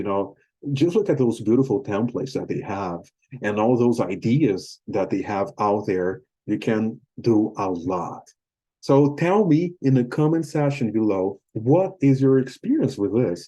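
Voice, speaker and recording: In a Portuguese accent, a man with a medium pitch and a dark, mellow tone speaks with lively intonation at a moderate pace against a quiet background. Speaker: YouTuber and English teacher. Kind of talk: casual talk to camera. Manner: halting.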